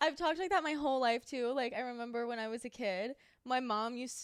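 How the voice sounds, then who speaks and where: Speaking with a Southern California accent, a woman has a high pitch and ordinary pitch variation. Her pace is fairly quick. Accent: Valley girl, West Coast-sounding. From North Carolina. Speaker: podcast co-host. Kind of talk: casual chat. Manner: drags her words.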